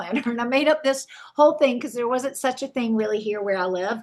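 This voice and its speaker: A woman with a Southern US accent talks at a fairly quick pace against a quiet background. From South Carolina, Camden. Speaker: wedding and event planner. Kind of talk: podcast interview.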